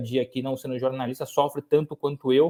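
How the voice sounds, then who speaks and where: A man's fairly high-pitched voice in a flat monotone, at a fairly quick pace. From Brazil, interior of São Paulo state (Lorena). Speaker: sports journalist. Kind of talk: podcast interview. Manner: repeats words and restarts often.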